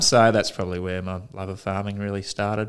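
A man speaks with an Australian accent. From Melbourne, Australia. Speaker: farmer. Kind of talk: interview. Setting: in person.

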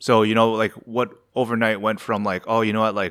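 A man speaks at a fairly quick pace with a fairly low pitch. It is a plain, everyday voice. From Canada. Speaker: media founder. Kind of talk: interview. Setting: remote call from home.

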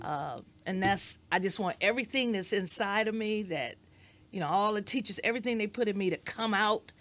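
Recorded very cleanly against a silent background, a woman uses a normal speaking voice at a medium pitch with ordinary pitch variation. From Detroit, Michigan. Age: 60s. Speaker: educator and school board member. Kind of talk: interview.

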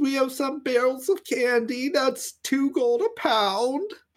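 The pitch is extremely high. It comes from a man doing a put-on character voice. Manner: chirpy customer-service salesman.

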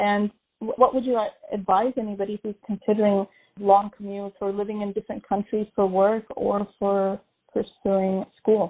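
A woman speaks at a medium pitch and a moderate pace, with a slightly husky edge. Her pitch moves little, and the sound is dry and close with no echo.

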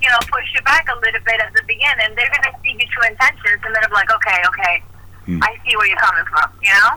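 Speaking very fast with lively intonation, a woman with a high pitch keeps her loudness very even. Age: 30s. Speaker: Marine veteran and art therapy student. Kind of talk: casual interview.

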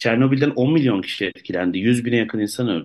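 A man talks at a very fast pace. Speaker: party co-spokesperson, environmental activist. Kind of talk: radio interview.

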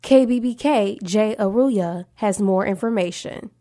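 This woman has an ordinary speaking voice with medium pitch and ordinary pitch variation. The recording is very clean, with a silent background. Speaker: student radio news anchor. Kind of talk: scripted radio newscast. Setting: campus radio studio. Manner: even, polished newsreader delivery.

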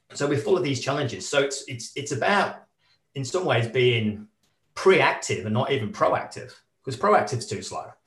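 Through audible room echo, a man with a fairly high pitch speaks with lively intonation. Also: moderate pace. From northern England. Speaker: adventurer and corporate speaker. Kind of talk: casual interview.

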